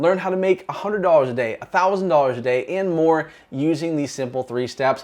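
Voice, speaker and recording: A man with an American accent talks at a fairly quick pace. His voice is high, with ordinary pitch variation. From Massachusetts, US. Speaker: online marketing coach. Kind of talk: sales pitch. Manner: fast; animated.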